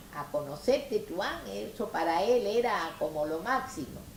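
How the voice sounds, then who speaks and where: Against noticeable background noise, a woman speaks at a medium pitch with very wide pitch swings. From Melilla and Tetuán, northern Morocco. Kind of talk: oral history interview answer.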